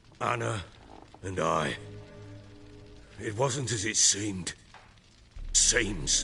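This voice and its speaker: Over clear music in the background, a man does a put-on character voice at a medium pitch and a very slow pace. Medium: machinima. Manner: gruff, defensive.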